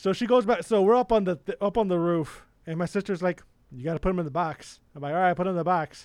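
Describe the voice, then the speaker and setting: A man talks at a very fast pace in a high pitch with ordinary pitch variation, the sound dry and close with no echo over a quiet background. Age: 30s. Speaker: podcast co-host and accountant. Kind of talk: casual chat. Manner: animated.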